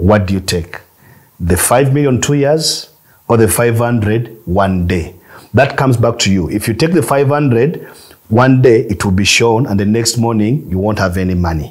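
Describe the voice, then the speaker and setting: Over a quiet background, a man speaks at a moderate pace, somewhat breathy, with lively intonation. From Uganda. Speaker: film producer and distributor. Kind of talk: masterclass talk. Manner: repetitive, halting. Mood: advising, sometimes laughing. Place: studio.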